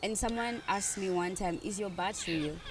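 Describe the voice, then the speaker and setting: A woman in a room with audible echo speaks at a moderate pace, her medium pitch showing ordinary variation. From Kenya. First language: a Kenyan language. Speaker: podcast host, nursing assistant. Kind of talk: casual conversation. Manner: stumbles over some words.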